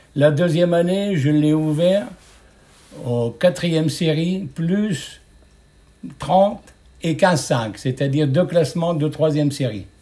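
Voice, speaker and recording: Pausing long and often, a man with a fairly high pitch and ordinary pitch variation speaks at a very slow pace. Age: 70s. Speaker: retired steelworker, club committee member. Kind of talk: interview.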